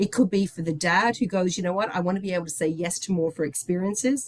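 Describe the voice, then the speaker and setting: Over noticeable background noise, a woman with an Irish accent talks at a very fast pace and medium pitch in an enthusiastic tone. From Ireland, Dublin. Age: 60s. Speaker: company executive. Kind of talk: presentation.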